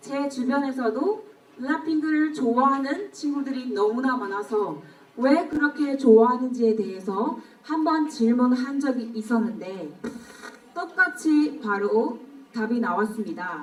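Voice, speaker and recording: A woman with a Burmese accent, high-pitched and very slow, with lively intonation, audible room echo and noticeable background noise. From Myanmar. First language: Burmese (speaking Korean). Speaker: speech contest participant. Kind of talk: speech contest oration. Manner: formal.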